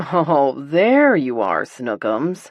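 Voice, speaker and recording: The voice is a put-on character voice with a low-to-middle pitch. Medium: read story.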